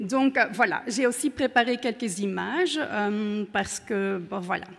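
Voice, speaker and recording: Very slow delivery with ordinary pitch variation comes in a non-native accent. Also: woman. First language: Dutch (speaking French). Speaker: urban researcher. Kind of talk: conference talk. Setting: conference room with audience.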